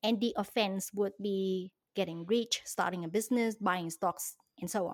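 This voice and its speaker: A woman speaks at a medium pitch and a moderate pace. Her intonation is fairly even. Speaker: finance YouTuber and investor. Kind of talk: interview conversation. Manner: talkative; laughs often.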